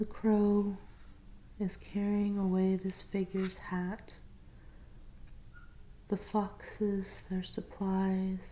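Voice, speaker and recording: Soft-spoken and very slow. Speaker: tarot reader. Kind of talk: ASMR tarot reading roleplay.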